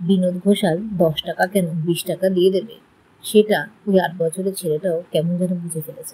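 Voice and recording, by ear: Intonation is fairly even. A passage is read aloud in a natural voice.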